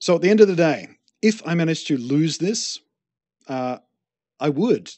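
A man speaks with lively intonation. His tone is slightly mellow.

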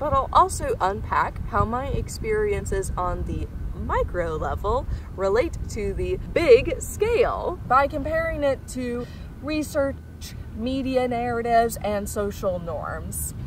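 A woman's very slow speech with an American accent, dry sound with no echo, and noticeable background noise. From Missouri, Kansas City; Missouri. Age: 20s. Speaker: job applicant. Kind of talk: video job application pitch. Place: garden.

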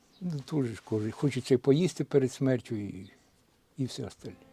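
A man with a fairly high pitch and a dark, mellow tone talks at a moderate pace. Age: 70s. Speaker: retired villager near the front line. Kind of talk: interview answer.

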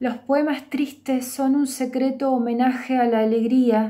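Against a quiet background, a woman speaks in a high pitch with a dark, mellow tone and monotone, flat intonation. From Belarus. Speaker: poet. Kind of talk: self-introduction; poetry reading. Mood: calm, warm, reflective. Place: home room. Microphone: webcam.

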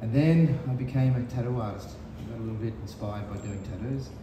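A man talks at a fairly quick pace with ordinary pitch variation. Loud background noise and audible room echo surround him. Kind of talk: interview answer. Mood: relaxed, friendly. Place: cafe.

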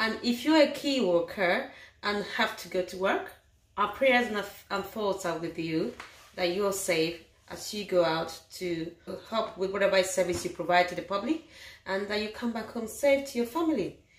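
A woman speaks at a moderate pace. Room echo is audible. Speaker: home cook vlogger. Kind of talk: casual vlog chat. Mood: warm, calm. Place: kitchen. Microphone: phone near.

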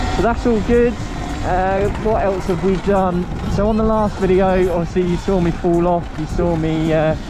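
The speech comes at a moderate pace in a dry sound with no echo, over noticeable background noise. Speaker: rider vlogger. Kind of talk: casual vlog chat. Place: motorbike. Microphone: helmet.

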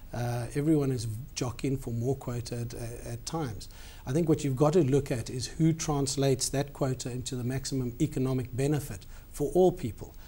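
This man talks at a fairly quick pace with a somewhat breathy, dark, mellow tone. His pitch sits fairly high, with ordinary pitch variation. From South Africa. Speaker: company CEO; interviewee. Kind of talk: TV business interview. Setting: studio. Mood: calm, measured. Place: studio. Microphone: lapel.

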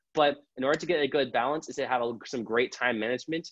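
The speaker has an American accent and talks at a very fast pace. The intonation is fairly even, and the background is quiet. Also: man, dry sound with no echo. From Southern California. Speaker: student campus ambassador. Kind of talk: informational presentation. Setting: video call. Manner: casual, playful. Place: home room. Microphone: earbuds.

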